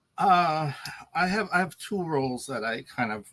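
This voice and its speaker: A bright, sharp tone in a dry, close sound with no echo. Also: man. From Nova Scotia, Canada. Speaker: university administrator. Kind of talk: interview conversation.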